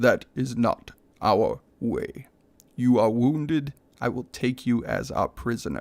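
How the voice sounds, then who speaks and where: Someone performs a put-on character voice at a fairly slow pace. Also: man, medium pitch for a man. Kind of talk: formal. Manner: stern.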